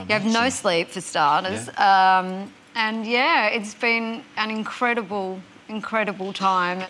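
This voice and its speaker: Talking fairly slowly, a woman has an Australian accent. Her pitch varies in an ordinary way. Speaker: singer and actress. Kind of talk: interview answer. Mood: smiling, lighthearted. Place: studio. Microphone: lapel.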